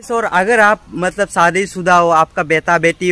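A man speaks with a bright, sharp tone. The sound is dry, with no echo. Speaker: travel vlogger. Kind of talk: casual vlog chat. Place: street. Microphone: phone near.

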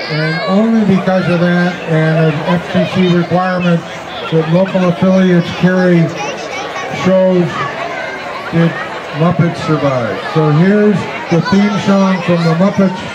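With crowd noise behind him, a man speaks at a very slow pace, pausing long and often. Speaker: concert announcer. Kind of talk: public announcement introducing songs. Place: garden. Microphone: podium.

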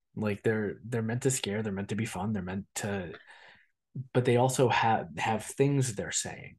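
Against a quiet background, a man talks at a fairly slow pace with a fairly low pitch and ordinary pitch variation. He has a normal speaking voice. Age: 30s. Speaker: podcast co-host. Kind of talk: casual chat.

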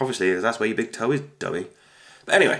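With a British accent and vocal fry, a man talks at medium pitch. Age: 30s. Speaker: YouTuber. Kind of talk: casual vlog monologue.

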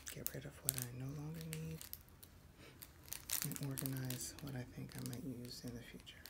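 A soft-spoken woman with a very deep, low pitch and lively intonation, moderate pace, long, frequent pauses, and loud background noise. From New Jersey. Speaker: ASMR creator. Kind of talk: ASMR soft-spoken talk.

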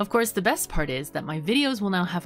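A woman talks at a fairly quick pace over clear music in the background. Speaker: gaming YouTuber. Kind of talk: casual vlog chat. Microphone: studio mic.

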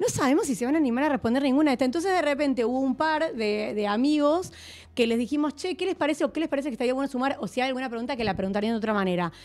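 A woman's high-pitched voice at a very fast pace, with lively intonation. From Argentina. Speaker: film director and producer; interview guest. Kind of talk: casual interview. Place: studio. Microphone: studio mic.

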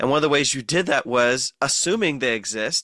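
On a very clean recording with a silent background, a man of medium pitch speaks at a moderate pace in a bright, sharp tone with lively intonation. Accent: American. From US Midwest, Ohio. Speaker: New Testament professor and author. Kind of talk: radio interview. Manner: hesitant fillers.

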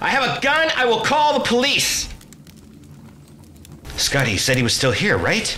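In a put-on character voice, a man speaks fairly slowly with a high pitch, a bright, sharp tone and very wide pitch swings.

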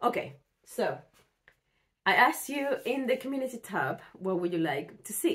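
A woman talks at a fairly slow pace with lively intonation. Her tone is fairly bright.

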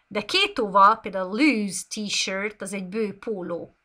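Speaking at a very slow pace, a woman uses fairly even intonation and a bright, sharp tone. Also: quiet background. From Hungary. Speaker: English teacher. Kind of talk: live online lesson. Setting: live stream. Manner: unscripted, off the cuff. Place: home room. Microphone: webcam.

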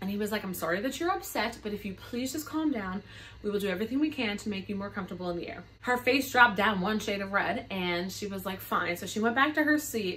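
Lively intonation runs through very fast speech with hardly any pauses. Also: woman. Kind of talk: casual storytime vlog. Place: home room. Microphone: phone near.

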